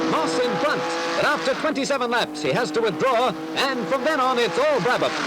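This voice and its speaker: A man speaks in an upbeat, energetic tone at a moderate pace, his loudness very even, with noticeable background noise behind him. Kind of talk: period newsreel narration.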